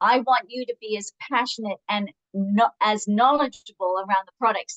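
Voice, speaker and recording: A woman's fairly high voice moves at a moderate speed, its pitch rising and falling in an ordinary way. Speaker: product director and nutritionist. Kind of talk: training webinar. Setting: video call. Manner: animated.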